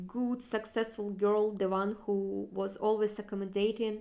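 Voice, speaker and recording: With a Russian accent, a woman at medium pitch speaks in a monotone, flat way at a fairly slow pace. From Far East Russia. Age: 30s. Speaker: vlogger. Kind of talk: personal vlog monologue. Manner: halting, with fillers.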